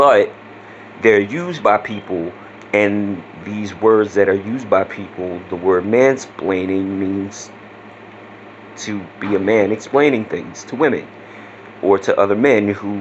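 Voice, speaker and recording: In a Louisiana accent, a man speaks fairly slowly at a fairly low pitch with ordinary variation. Noticeable background noise runs underneath. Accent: Southeast Louisiana. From Southeast Louisiana. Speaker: vlogger. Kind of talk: casual vlog talk. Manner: casual, with many fillers.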